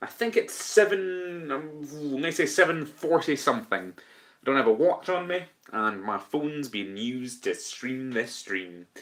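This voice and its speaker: A man with a Scottish accent talks at a fairly slow pace. His pitch swings very widely and his loudness rises and falls a lot. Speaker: podcast host. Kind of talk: casual chat.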